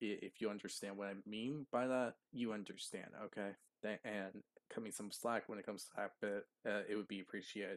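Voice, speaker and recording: Quiet and quick, a man with a fairly low pitch speaks with fairly even intonation in a dry, close sound with no echo. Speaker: YouTube reaction creator. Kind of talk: reaction commentary. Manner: quiet, low voice; halting, many fillers.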